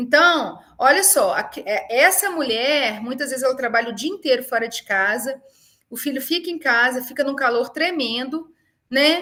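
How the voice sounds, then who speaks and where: A woman speaks in a raised, projected voice at a fairly slow pace. Her pitch is high, her tone bright and sharp, and her intonation lively. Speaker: university professor. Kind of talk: webinar lecture. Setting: online webinar.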